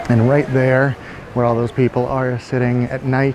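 A man speaks at a moderate pace. The sound is dry with no echo, though noticeable background noise is present. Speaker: travel vlogger. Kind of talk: casual vlog tour commentary. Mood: relaxed, enthusiastic. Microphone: phone near.

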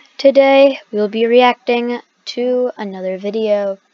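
A plain, everyday voice with ordinary pitch variation comes through dry and close, with no echo. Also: woman. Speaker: gaming YouTuber. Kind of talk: reaction video commentary. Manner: casual, rambling.

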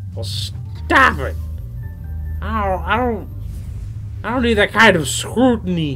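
Clear music plays behind a man doing a put-on character voice at a very slow pace. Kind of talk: comic overacting. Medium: game stream. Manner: evasive, sarcastic, dismissive; callous and amused.

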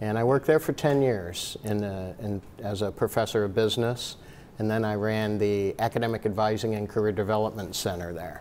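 A man with an American accent speaks at a fairly quick pace in a fairly low voice, with fairly even intonation. It is a plain, everyday voice, with light background noise. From northwest Ohio (Maumee); Ohio. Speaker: college dean. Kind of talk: casual interview. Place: office. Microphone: lapel.

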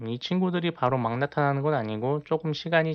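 Talking at a very fast pace, a man uses ordinary pitch variation. His pitch sits fairly high. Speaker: gaming YouTuber. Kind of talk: gameplay commentary tutorial.

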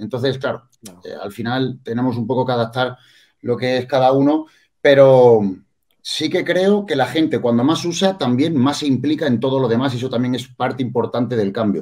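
A man talks at a moderate pace with ordinary pitch variation. The background stays quiet. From Andalusia, Spain. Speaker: bodybuilding coach and competitor; bodybuilding coach. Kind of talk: casual panel discussion. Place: home room. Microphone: video call.

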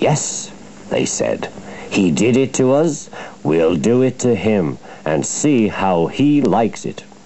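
Lively intonation marks the speech. It is a natural reading voice.

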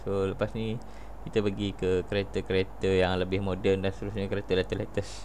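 Light background noise behind a male voice. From Malaysia. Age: 30s. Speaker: gaming youtuber. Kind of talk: casual gameplay commentary. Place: home room. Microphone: headset.

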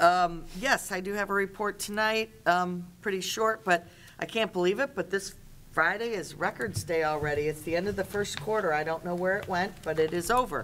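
A woman speaks with ordinary pitch variation at a moderate pace. Light background noise is present. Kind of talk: meeting report. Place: meeting room. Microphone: podium.

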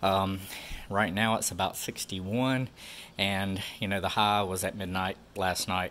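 A man's bright, sharp, fairly low-pitched voice with fairly even intonation and light background noise. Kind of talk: casual vlog chat. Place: garage. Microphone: phone near.

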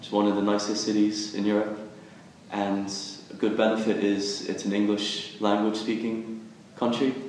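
Strong room echo and light background noise surround a man speaking at a moderate pace with a fairly low pitch and monotone, flat intonation. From US, Philadelphia; Pennsylvania. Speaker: university student. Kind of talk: promotional testimonial. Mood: friendly, positive. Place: office.

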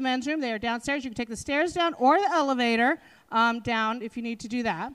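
Against a quiet background, a woman speaks with a high pitch. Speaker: labor council president, MC. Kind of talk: welcome speech. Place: hall. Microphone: handheld.

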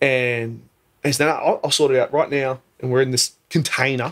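Against a quiet background, a man with an Australian accent talks at a moderate pace with fairly even intonation. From Australia (Queensland), born in New Zealand. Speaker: podcast guest. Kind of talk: casual chat. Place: studio. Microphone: studio mic.

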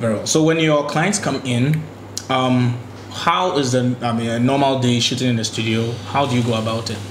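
A man speaks at a moderate pace and medium pitch with ordinary pitch variation. Audible room echo and light background noise sit around his voice. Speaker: video host. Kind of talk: casual interview. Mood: relaxed, friendly. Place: studio.

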